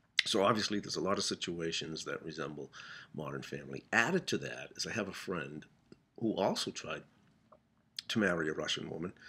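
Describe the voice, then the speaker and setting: A man speaks in a very deep, low voice with a bright, sharp tone and ordinary pitch variation. The recording is very clean, with a silent background. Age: 60s. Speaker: comedian. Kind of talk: casual storytelling monologue. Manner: halting, with frequent fillers.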